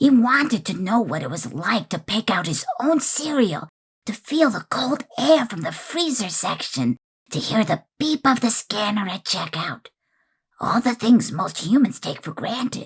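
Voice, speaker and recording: This cartoonish character voice moves along at a moderate pace. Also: man, high pitch for a man. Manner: relaxed, wry, conversational.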